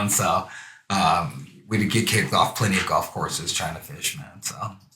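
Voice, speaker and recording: A man with an American accent speaks at a fairly low pitch with ordinary pitch variation. Audible room echo surrounds his voice. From California, Santa Monica. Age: 40s. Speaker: youth fishing program founder. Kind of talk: casual interview. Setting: live stream show.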